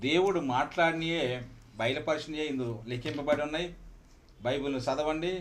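Audible room echo surrounds the speaker. He is a man with a fairly high pitch. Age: 60s. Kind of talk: formal question and thanks. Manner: formal.

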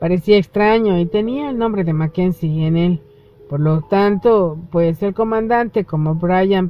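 With ordinary pitch variation, the reader delivers the words aloud in a natural voice.

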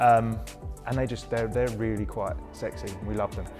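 Clear music plays in the background as a man talks at a fairly quick pace. His voice is fairly low, with ordinary pitch variation. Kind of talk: interview answer. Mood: enthusiastic, positive. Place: gym. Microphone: lapel.

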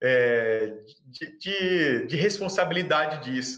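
The man's voice sits fairly high in pitch. Its tone is bright and sharp. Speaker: swimming channel host. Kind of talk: casual interview. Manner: animated.

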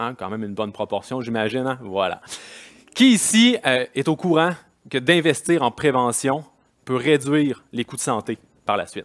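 Man at medium pitch and moderate pace, lively intonation, long, frequent pauses, quiet background. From Quebec. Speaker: kinesiology federation president; conference speaker. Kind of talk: conference talk. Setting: stage with audience. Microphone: headset.

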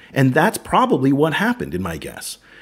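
A man with an American accent at a very fast pace, with very wide pitch swings and vocal fry. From United States. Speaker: podcast host. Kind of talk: casual discussion.

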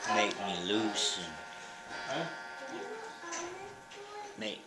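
The speech moves very slowly, broken by long, frequent pauses. Loud background noise fills the recording. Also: man. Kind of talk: casual conversation. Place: home room. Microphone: phone near.

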